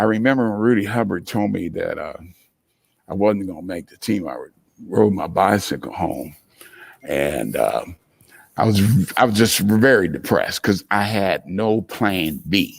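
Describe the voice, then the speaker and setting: With vocal fry and big swings in loudness, a man speaks at a fairly low pitch and a fairly slow pace, using ordinary pitch variation and long, frequent pauses. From US Midwest, Columbus, Ohio. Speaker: entrepreneur. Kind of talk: interview storytelling.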